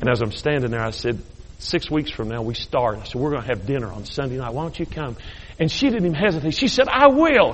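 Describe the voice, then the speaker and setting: A man talking at a very fast pace in an animated tone, with big swings in loudness and audible room echo. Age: 50s. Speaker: bishop, guest preacher. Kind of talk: sermon. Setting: church service.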